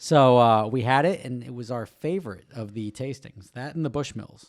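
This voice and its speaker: Moderate pace and ordinary pitch variation from a man at a medium pitch. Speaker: car podcast host. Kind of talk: casual chat. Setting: home lounge. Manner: quieter than co-host.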